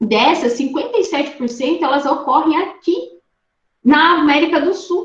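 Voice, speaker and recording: With audible room echo, a woman speaks in an animated tone at a moderate pace, her high pitch carrying lively intonation. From Rondônia, Brazil. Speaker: ornithologist, guest lecturer. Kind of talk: online lecture.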